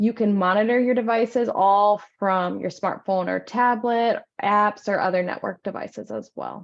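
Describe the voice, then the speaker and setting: Fairly even intonation with hardly any pauses. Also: woman, medium pitch for a woman. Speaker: assistive technology presenter. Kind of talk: presentation. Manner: fast.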